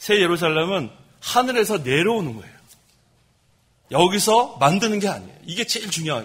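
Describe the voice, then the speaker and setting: A man speaks at a fairly quick pace, his voice high in pitch. His intonation is lively. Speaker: pastor. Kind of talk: sermon. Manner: fast.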